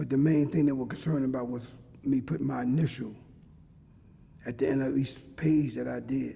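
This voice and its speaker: A man talks at a moderate pace with a dark, mellow tone and somewhat breathy delivery. His intonation stays fairly even. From Philadelphia, North Philly. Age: 60s. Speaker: former jailhouse informant. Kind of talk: interview testimony. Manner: halting, repeats words.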